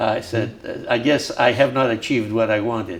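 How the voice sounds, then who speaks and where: Talking at a moderate pace and medium pitch, a man speaks with a Greek accent. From Crete, Greece. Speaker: civil engineer and community leader. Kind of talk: oral history interview. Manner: halting, repeats words.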